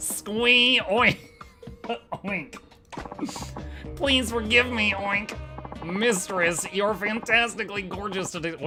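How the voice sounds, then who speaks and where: With clear music in the background, a squeaky, fairly high-pitched put-on character voice speaks at a very slow pace. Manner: pleading, servile.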